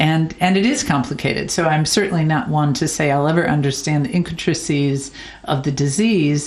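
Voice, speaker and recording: A woman speaks with a very deep, low pitch and ordinary pitch variation at a fairly quick pace. Her loudness stays very even, with noticeable background noise and audible room echo. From United States. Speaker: charity founder. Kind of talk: interview. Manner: halting, with frequent repetitions.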